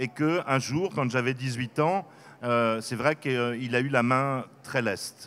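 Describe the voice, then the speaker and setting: A man with a medium pitch talks fairly slowly, his pitch shifting in an ordinary way. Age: 60s. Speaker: author. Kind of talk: interview. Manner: hesitant, many fillers.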